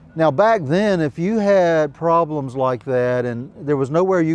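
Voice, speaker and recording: At a moderate pace, a man with a normal speaking voice talks with lively intonation. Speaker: historian and author. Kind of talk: storytelling to a live audience. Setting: outdoors.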